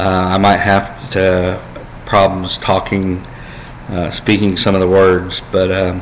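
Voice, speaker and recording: Speaking at a very slow pace, a man with a very deep, low pitch keeps a monotone, flat intonation amid audible room echo and noticeable background noise. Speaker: vlogger with brain cancer. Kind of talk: personal video diary. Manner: halting, many fillers.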